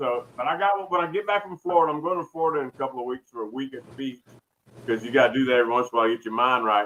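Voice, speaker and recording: A man in a Southern US accent with lively intonation. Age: 60s. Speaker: barbecue cook. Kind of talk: casual chat. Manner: animated.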